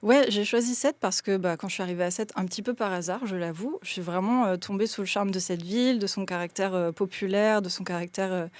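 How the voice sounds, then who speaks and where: Talking at a very fast pace with hardly any pauses, a woman uses a medium pitch and ordinary pitch variation. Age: 30s. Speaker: sociologist and municipal candidate. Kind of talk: radio interview. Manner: hesitant, many fillers.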